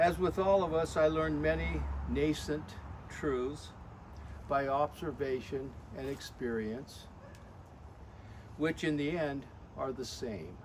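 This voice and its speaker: With audible room echo around him, a man talks very slowly in a fairly high pitch, leaving long, frequent pauses. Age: 80s+. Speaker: birthday celebrant. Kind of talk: birthday speech. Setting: family gathering with audience. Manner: formal.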